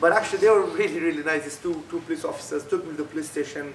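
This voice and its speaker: A man speaks with a Pashto accent and fairly even intonation, with noticeable background noise and audible room echo. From Afghanistan. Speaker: refugee and author. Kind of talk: talk to students. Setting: school event with audience. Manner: halting.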